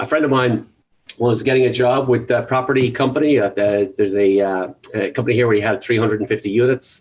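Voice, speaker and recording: Delivered at a fairly quick pace, the speech has fairly even intonation and an Irish accent. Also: man. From Ireland. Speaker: real estate agent. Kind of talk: interview. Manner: halting.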